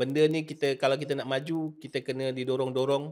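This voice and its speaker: A man with a fairly high voice speaks in a flat monotone against a quiet background. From Malaysia. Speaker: nasyid singer and podcast host; podcast host. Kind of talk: casual interview chat. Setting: studio. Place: studio. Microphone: studio mic.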